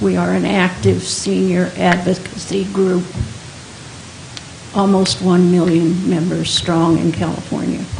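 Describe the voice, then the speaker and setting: A woman speaks at a fairly slow pace and a medium pitch. Audible room echo and noticeable background noise surround her voice. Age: 70s. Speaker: senior advocate, public commenter. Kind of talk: public comment at board meeting. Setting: county board meeting chamber.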